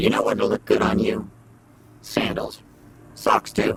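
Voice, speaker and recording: A man puts on a raspy character voice. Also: fairly slow pace. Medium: machinima. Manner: sarcastic, dry.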